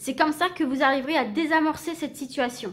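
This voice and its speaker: The voice belongs to a woman and sits high in pitch. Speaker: tarot card reader. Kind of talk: tarot reading. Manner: halting; casual.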